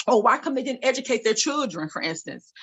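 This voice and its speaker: The speaker is female. She talks with a high pitch. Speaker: real estate broker. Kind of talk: webinar talk. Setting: video call. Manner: fast.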